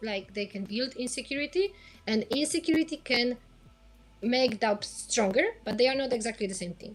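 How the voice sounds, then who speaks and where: Over background music, a woman with a high voice speaks with lively intonation and big swings in loudness. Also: moderate pace. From Poland. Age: 30s. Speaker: sports psychologist. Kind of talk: interview.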